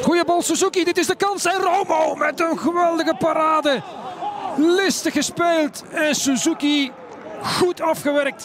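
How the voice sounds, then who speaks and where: A man's extremely high voice at a fairly slow pace, with fairly even intonation, very even loudness and noticeable background noise. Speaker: football commentator. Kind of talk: live football match commentary.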